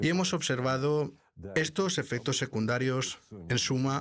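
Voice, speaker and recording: A man with a medium pitch and ordinary pitch variation talks on a very clean recording against a silent background. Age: 60s. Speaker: vaccine scientist. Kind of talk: interview. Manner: formal.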